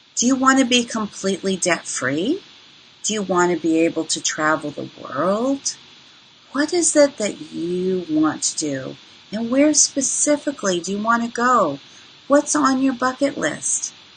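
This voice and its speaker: A woman speaks at a fairly slow pace with a fairly high pitch and very wide pitch swings. Noticeable background noise runs underneath. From moved around as a child: New York, Panama, Tokyo. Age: 60s. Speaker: financial coach. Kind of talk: webinar presentation. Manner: animated.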